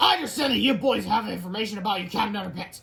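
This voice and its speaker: A put-on character voice growls at a fairly high pitch. The pace is very fast. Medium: read story. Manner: snarling, bossy.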